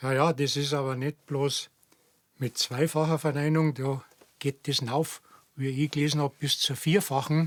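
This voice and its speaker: The man's fairly high voice comes at a fairly slow pace with a monotone, flat intonation, recorded dry and close with no echo. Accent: Bavarian. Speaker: dialect enthusiast. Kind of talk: casual chat.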